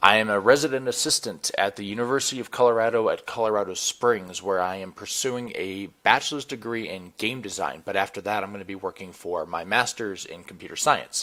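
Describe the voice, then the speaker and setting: An ordinary speaking voice, this man's fairly low delivery runs at a fairly quick pace with hardly any pauses, ordinary pitch variation and big swings in loudness. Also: very clean recording, silent background. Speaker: student and obstacle course athlete. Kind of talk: entry video narration.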